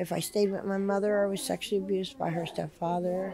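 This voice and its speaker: A woman with a New Jersey accent speaks with fairly even intonation. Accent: New Jersey American. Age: 50s. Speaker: homeless shelter resident. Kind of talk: interview testimony. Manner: hesitant, many fillers.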